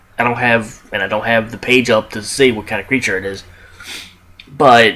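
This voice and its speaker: This man talks at a medium pitch with ordinary pitch variation. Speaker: movie reviewer. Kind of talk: casual video review. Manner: fast; halting, many restarts.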